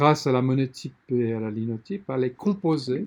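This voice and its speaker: A man's dark, mellow tone with lively intonation. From Lesotho and South Africa. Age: 60s. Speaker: publisher. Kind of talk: interview.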